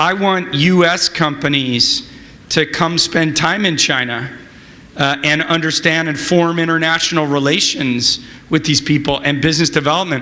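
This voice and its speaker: Noticeable background noise and audible room echo surround a man's fairly high voice. He speaks at a moderate pace with fairly even intonation and very even loudness. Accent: American. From California. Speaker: venture capitalist. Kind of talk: conference interview.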